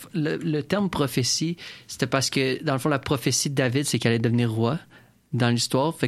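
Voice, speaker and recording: Heard on a very clean recording with a silent background, a man of medium pitch talks at a fairly quick pace in a plain, everyday voice, with very even loudness and ordinary pitch variation. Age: 20s. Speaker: community radio host. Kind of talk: casual radio interview.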